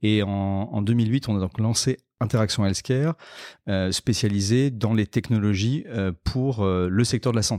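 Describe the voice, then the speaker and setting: At a fairly slow pace, a man speaks in a dark, mellow, fairly low-pitched voice with ordinary pitch variation, recorded very cleanly against a silent background with a dry, close sound and no echo. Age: 40s. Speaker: health tech entrepreneur. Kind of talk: interview. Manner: halting, many fillers and repetitions.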